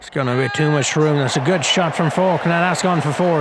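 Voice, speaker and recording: A man's voice comes through with clear room reverberation and a good deal of background noise. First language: not English. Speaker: gaming youtuber, game commentator. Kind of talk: casual gameplay commentary. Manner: casual, hesitant with fillers.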